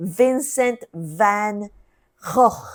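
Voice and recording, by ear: Female-sounding and guttural, this put-on character voice sits at a medium pitch for a woman.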